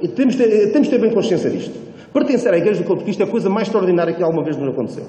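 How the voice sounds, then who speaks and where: With a European Portuguese accent, a man talks at a very fast pace in a high pitch and lively intonation, with noticeable background noise and audible room echo. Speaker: preacher. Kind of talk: sermon. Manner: hesitant, repeats words.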